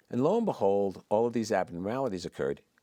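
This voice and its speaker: On a very clean recording with a silent background and a dry, close sound with no echo, a man talks at a fairly quick pace with ordinary pitch variation. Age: 60s. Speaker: physician. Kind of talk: interview. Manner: animated.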